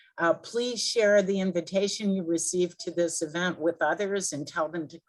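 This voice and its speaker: A woman talks in a normal speaking voice. Her pitch is fairly low and her intonation fairly even. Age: 60s. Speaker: event host. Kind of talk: announcements and Q&A.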